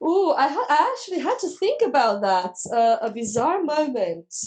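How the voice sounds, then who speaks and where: A woman with a non-native accent speaks in a high voice at a moderate pace. Her pitch swings very widely. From Romania. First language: Romanian. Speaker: teacher and trainer. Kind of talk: casual interview chat. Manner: animated.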